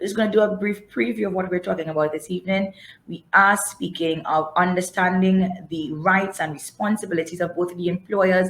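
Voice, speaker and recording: A moderate pace, a somewhat breathy quality, and ordinary pitch variation. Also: woman. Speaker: webinar host and moderator. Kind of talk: webinar moderation. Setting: online webinar.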